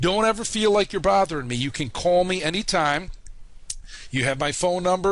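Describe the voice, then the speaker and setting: A man talks with a Chicago accent in a high pitch. His pitch variation is ordinary. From US Midwest, Chicago. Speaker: online college instructor. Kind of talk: course introduction video. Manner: casual, many fillers.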